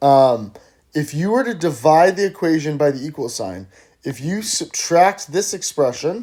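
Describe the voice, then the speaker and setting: A man's normal speaking voice, fairly slow in pace, with lively intonation. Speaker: math teacher. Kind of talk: lecture. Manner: casual.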